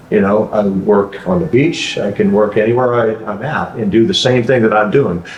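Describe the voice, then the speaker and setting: Speech from a man at an average speed, against clearly audible background noise. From Alaska. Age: 60s. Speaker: franchise owner. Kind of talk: interview. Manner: halting.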